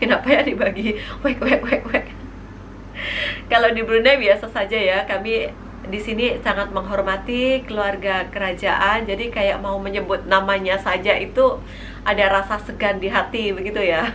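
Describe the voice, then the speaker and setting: With a Javanese accent, a woman speaks at medium pitch with fairly even intonation, amid audible room echo and noticeable background noise. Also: moderate pace. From East Java, Indonesia (Tulungagung). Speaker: vlogger. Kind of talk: Q&A vlog.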